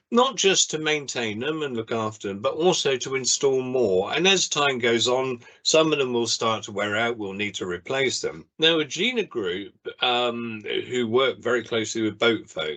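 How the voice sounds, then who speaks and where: A man's voice has a bright, sharp tone and lively intonation. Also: medium pitch for a man, moderate pace. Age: 60s. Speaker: marine conservationist. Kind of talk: interview.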